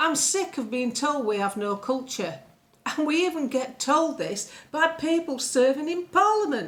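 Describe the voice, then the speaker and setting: Speaking with an English accent, a woman uses a high pitch and very wide pitch swings at a moderate pace. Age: 60s. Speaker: political commentator. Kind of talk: political rant. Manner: animated.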